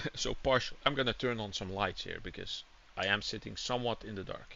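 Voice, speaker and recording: A man's voice at a medium pitch. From Netherlands. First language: Dutch. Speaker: gaming streamer. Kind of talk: casual live-stream chat. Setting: home room with windows open, hot.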